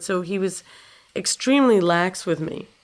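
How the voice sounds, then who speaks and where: A woman with a New York accent and a medium-pitched voice. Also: very clean recording, silent background. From New York City, Upper West Side. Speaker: guitarist. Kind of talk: interview.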